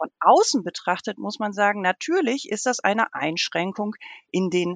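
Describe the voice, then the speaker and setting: In a dry, close recording with no echo, a woman talks fairly slowly with very wide pitch swings. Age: 40s. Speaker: theologian. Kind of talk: interview.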